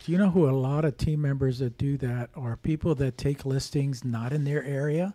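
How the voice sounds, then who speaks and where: A man speaks at a moderate pace with hardly any pauses, his pitch fairly high and his intonation fairly even. His tone is dark and mellow, and somewhat breathy. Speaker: real estate investor and podcast co-host. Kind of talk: casual chat.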